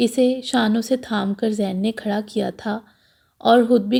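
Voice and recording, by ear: A text is being read aloud. The delivery uses a natural voice.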